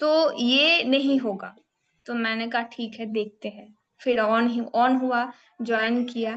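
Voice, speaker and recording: A high-pitched woman with a Bengali accent speaks with fairly even intonation. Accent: Bengali-accented Hindi. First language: Bengali (speaking Hindi). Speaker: community group member giving testimony. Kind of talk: personal testimony speech. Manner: hesitant, with fillers.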